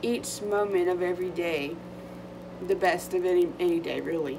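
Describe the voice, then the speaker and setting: There is audible room echo and noticeable background noise as a woman speaks at a moderate pace. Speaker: vlogger. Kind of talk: casual chat. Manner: halting.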